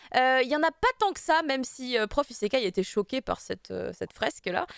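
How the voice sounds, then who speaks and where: Speaking at a fairly quick pace, a woman with a high voice makes very wide pitch swings, with a dry, close sound and no echo. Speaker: show host. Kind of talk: live show chat.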